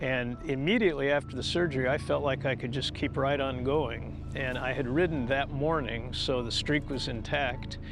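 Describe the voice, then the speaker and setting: With music in the background, a man speaks at a medium pitch with fairly even intonation. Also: moderate pace. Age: 70s. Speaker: hip replacement patient, cyclist. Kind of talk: interview answer.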